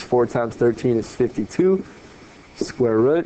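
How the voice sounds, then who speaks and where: A man is talking. Background noise can be noticed behind him. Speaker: math teacher. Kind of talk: video lesson. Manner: fast.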